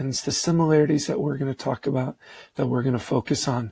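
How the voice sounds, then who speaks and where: In a dry, close recording with no echo, a man's somewhat breathy voice shows ordinary pitch variation. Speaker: science teacher. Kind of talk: lecture.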